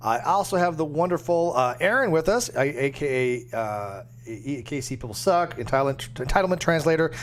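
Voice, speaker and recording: Noticeable background noise runs under this recording. A man speaks with very wide pitch swings. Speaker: YouTube streamer. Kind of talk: live stream chat. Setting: live stream. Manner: hesitant, many fillers.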